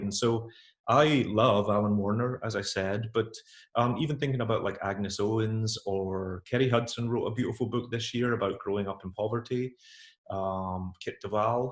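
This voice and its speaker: Against a quiet background, a somewhat breathy man speaks at a fairly quick pace with ordinary pitch variation. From Scotland. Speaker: author. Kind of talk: interview.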